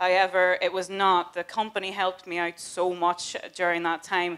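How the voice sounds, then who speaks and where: Her intonation stays monotone and flat. The woman speaks at a medium pitch in a Northern Irish accent. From Northern Ireland, Newry, County Down. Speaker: customer service team leader. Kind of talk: recruitment presentation. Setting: stage with audience.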